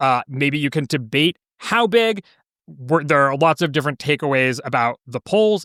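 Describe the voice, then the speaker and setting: A normal speaking voice from a man, fairly high in pitch, at a moderate pace on a very clean recording with a silent background. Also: dry, close sound with no echo. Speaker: political podcast host. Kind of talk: late-night podcast discussion. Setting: podcast recorded after a five-hour livestream.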